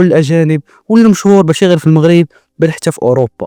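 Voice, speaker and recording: A man with a Moroccan accent at a very fast pace, dark and mellow in tone with ordinary pitch variation and a dry, close sound with no echo. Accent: Moroccan Darija. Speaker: YouTuber. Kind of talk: scripted narration.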